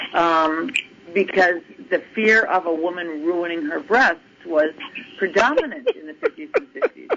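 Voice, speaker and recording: A woman with an American accent, lively intonation and big swings in loudness, over noticeable background noise. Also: medium pitch for a woman, moderate pace. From Massachusetts. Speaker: retired basketball coach. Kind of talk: interview.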